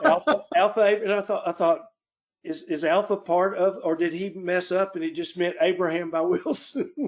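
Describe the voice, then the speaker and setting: A man's high voice in an Arkansas accent, with ordinary pitch variation at a moderate pace. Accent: Arkansas Southern accent, noticeable. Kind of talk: group Bible study discussion.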